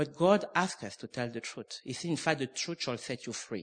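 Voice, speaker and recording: A man at a moderate pace with ordinary pitch variation against a quiet background. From France, Normandy. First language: French. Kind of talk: sermon. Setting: church with congregation.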